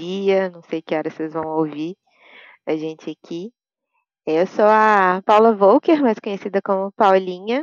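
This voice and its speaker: Her pitch is medium with ordinary variation. The woman speaks at a very slow pace. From Brazil, Minas Gerais (Belo Horizonte). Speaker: UX writer and content ops specialist. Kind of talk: podcast interview.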